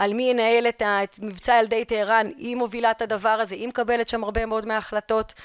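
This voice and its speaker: A woman talks at a fairly quick pace in a monotone, flat intonation. The sound is dry with no echo against a quiet background. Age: young. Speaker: history teacher and researcher; history teacher. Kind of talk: conference lecture. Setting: conference hall. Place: hall.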